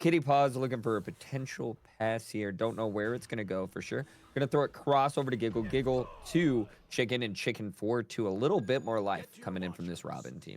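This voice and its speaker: A man's ordinary speaking voice, medium-pitched, with ordinary pitch variation and a fairly quick pace. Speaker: esports caster. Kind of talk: live commentary.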